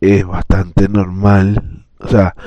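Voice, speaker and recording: This man's voice is very deep and low. His tone is dark and mellow. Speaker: podcaster. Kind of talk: personal monologue. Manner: hesitant.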